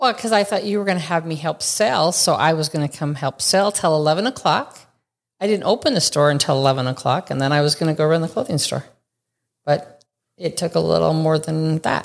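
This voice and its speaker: This woman's voice is very deep and low, with ordinary pitch variation and a fairly quick pace. The recording is very clean, the background silent. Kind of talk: casual interview.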